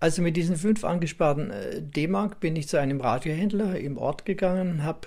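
A man's voice, somewhat breathy, shows ordinary pitch variation. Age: 80s+. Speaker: radio collector and museum owner. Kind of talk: interview recollection.

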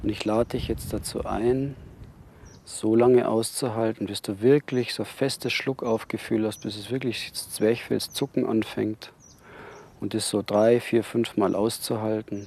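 A man's medium-pitched, unremarkable speaking voice. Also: fairly even intonation. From Bavaria, Neubiberg near Munich. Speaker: freediving instructor. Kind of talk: tutorial.

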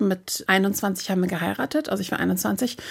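A woman's medium-pitched voice with vocal fry, on a very clean recording with a silent background. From northern Germany, Hamburg. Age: 40s. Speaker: influencer and plus-size model. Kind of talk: interview.

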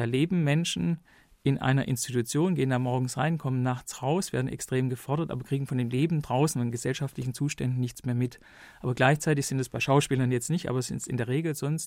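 Recorded very cleanly with a silent background, a man with a normal speaking voice and medium pitch talks at a fairly quick pace with fairly even intonation. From Stuttgart, Germany. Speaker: documentary filmmaker. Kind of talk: studio interview. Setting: studio.

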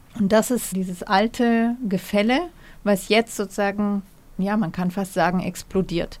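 An unremarkable speaking voice from a woman at medium pitch, with fairly even intonation and a fairly slow pace. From Germany, Munich. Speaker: historian and journalist. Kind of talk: interview. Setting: remote link from studio.

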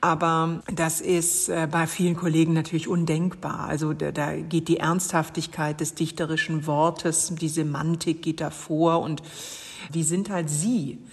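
A woman's fairly low, monotone, flat voice at a fairly slow pace, over noticeable background noise. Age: 40s. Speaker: poet. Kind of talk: interview.

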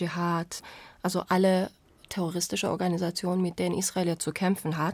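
This woman speaks at a moderate pace in a fairly low pitch, her intonation monotone and flat. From Iran. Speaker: journalist. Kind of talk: casual chat.

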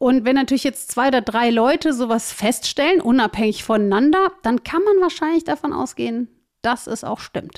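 In a very clean recording with a silent background, a woman speaks at a moderate pace. Her voice is high, with lively intonation. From Germany, Cologne. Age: 40s. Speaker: job coach. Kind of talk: interview.

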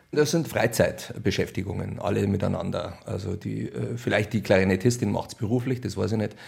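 A man with vocal fry at a fairly quick pace. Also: slightly mellow tone.

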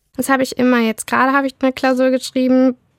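Very fast speech comes through with a dry, close sound and no echo. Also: woman. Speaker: law student. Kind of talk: personal testimony.

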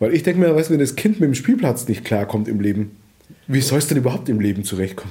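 At a very fast pace, the voice sounds somewhat breathy with a dark, mellow tone and very wide pitch swings. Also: man, medium pitch for a man. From southern Germany (Allgäu, Bavaria), born in Vietnam. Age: 40s. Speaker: refugee and father, media worker. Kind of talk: casual chat. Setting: at home. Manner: talkative, fast.

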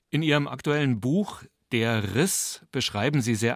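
A man speaks at a fairly slow pace with ordinary pitch variation, in a plain, everyday voice. The recording is very clean, with a silent background and a dry, close sound with no echo. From western Germany. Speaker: radio host. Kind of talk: radio interview.

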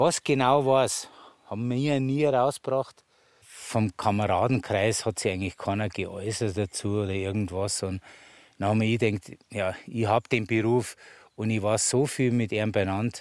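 Recorded very cleanly against a silent background, dry and close with no echo, a man with an Upper Bavarian accent speaks at a fairly low pitch and moderate pace with ordinary pitch variation. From Bavaria, Mittenwald. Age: 60s. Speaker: master sculptor. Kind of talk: on-site interview.

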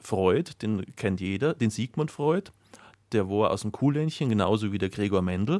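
A man's fairly low, dark and mellow voice with lively intonation, at a fairly slow pace, dry and close with no echo, on a very clean recording with a silent background. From Bavaria, Mühldorf area. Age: young. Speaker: biology teacher. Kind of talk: radio interview.

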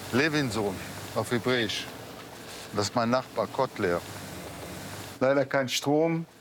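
Over noticeable background noise, a man speaks at a very slow pace with long, frequent pauses. His pitch is medium with ordinary pitch variation, and his loudness stays very even. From Israel, kibbutz near Gaza. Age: 40s. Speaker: massacre survivor. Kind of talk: on-location interview. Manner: halting.

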